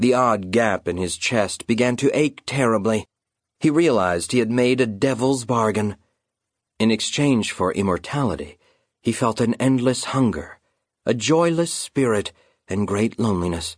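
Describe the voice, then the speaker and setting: A man with a plain, everyday voice speaks at medium pitch with ordinary pitch variation and very even loudness against a quiet background. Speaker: audiobook narrator. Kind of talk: dramatic audiobook narration of a children's fantasy story, storytelling tone. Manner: hushed, suspenseful and slow, building tension as Concord's heart stops; grave, measured and ominous, with a chilling undertone.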